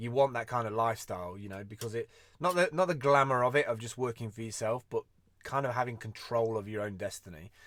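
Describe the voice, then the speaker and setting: In a British accent, a man of medium pitch speaks at a fairly quick pace on a very clean recording with a silent background. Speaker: vlogger and freelance creative. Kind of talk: casual live-stream monologue. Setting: live video stream. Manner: fast.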